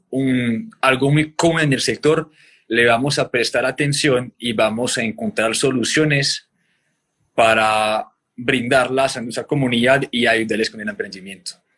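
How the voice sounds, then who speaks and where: A bright, sharp tone at a fairly slow pace with ordinary pitch variation. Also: man. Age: 30s. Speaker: podcast host on restaurant marketing. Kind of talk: interview guest conversation.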